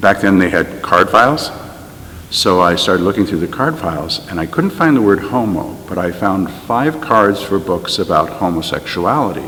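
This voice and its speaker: A man's fairly low-pitched voice at a moderate pace, with noticeable background noise. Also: lively intonation. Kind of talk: interview testimony.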